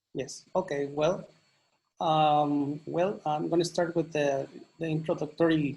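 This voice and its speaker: A man speaks at a fairly slow pace with a Mexican accent. His pitch is fairly high, and his intonation is fairly even. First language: Mazahua. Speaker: English teacher and educator. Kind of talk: presentation.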